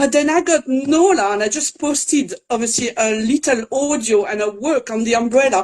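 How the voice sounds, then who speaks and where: Speaking at a moderate pace with a French accent, the voice has lively intonation and hardly any pauses. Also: woman, high pitch for a woman. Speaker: French teacher for children. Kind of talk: live interview. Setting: online live video.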